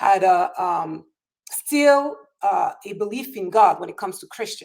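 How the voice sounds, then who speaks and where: Her medium-pitched voice, with ordinary pitch variation, moves at a moderate pace as this woman talks. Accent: French. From France. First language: French. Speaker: political talk show host. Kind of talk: political discussion.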